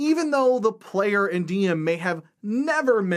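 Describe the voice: The delivery is plain reading aloud.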